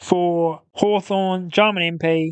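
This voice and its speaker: In an Australian accent, a man talks at a high pitch with monotone, flat intonation. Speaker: football podcast host. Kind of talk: casual sports discussion. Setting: studio.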